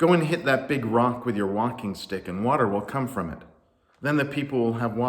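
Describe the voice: Someone reads a passage out loud. It is plain reading aloud.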